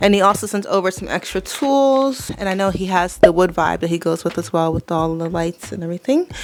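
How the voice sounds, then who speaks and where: Over music in the background, a woman talks at a fairly quick pace with hardly any pauses, her medium-pitched voice carrying lively intonation. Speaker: plant care YouTuber. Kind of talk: product review vlog. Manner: casual, chatty with fillers.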